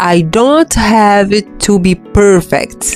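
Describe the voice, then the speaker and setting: Music plays in the background as a woman with a non-native accent speaks at a very slow pace. Her pitch variation is ordinary. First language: non-native English speaker. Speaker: English learner podcaster. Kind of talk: motivational reading for English practice. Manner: slow, with repetitions.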